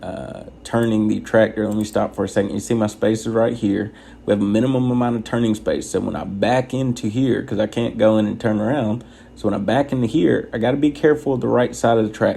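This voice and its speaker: A man speaks very fast at a medium pitch, soft-spoken throughout. His intonation stays fairly even. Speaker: truck driver trainer. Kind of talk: tutorial. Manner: soft-spoken, quiet inside voice.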